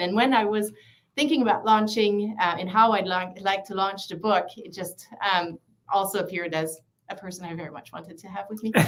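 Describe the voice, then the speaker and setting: Big swings in loudness mark a woman speaking at a fairly quick pace. She has a Quebec accent and fairly even intonation. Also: medium pitch for a woman. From Quebec City, Canada. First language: French. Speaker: author and psychologist. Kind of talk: casual interview. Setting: livestream video call.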